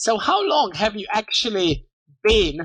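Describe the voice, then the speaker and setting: In a non-native accent, a man speaks at a fairly slow pace with a bright, sharp tone. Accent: non-native British-style English. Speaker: podcast host. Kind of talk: interview.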